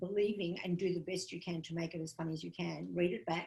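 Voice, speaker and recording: The voice has vocal fry and ordinary pitch variation. It moves at a fairly quick pace. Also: woman. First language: not English. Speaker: comedian and comedy writing teacher. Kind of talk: workshop lecture.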